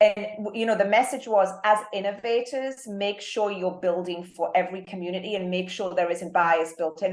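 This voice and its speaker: A woman's medium-pitched voice in a British accent, with ordinary pitch variation and a moderate pace. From UK. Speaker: marketing executive. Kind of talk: interview.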